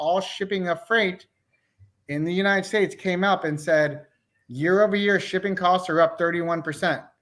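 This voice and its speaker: This man has a high-pitched voice. His intonation is fairly even. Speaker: real estate agent. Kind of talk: market update chat.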